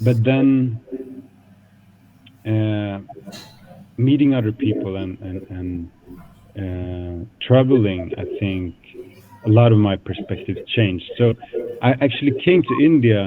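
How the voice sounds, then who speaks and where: A man's fairly low voice with a Swedish accent, very slow with long, frequent pauses and ordinary pitch variation, over noticeable background noise. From Sweden, Stockholm suburbs. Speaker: guest speaker at a school. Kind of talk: talk to school students. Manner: hesitant, many fillers.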